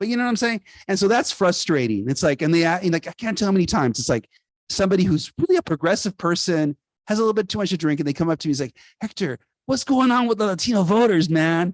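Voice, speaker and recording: A man's high-pitched, animated voice at a very fast pace with lively intonation, dry and close with no echo, over a quiet background. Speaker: author. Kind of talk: book event Q&A.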